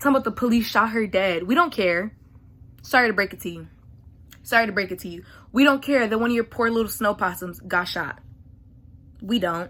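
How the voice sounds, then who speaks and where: A loud woman with a fairly high pitch and a bright, sharp, animated tone, a fairly quick pace with long, frequent pauses, ordinary pitch variation, on a very clean recording with a silent background. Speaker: vlogger. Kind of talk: rant. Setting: at home at night.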